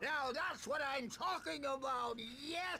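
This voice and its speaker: A put-on character voice speaks in a high pitch at a fairly slow pace, with clear background noise behind it. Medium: video game.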